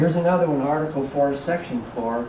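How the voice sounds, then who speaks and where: At a fairly quick pace, a man with an American accent speaks with ordinary pitch variation, amid noticeable background noise and audible room echo. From California. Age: 60s. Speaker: whistleblower, former border officer. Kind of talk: public talk. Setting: library talk with audience.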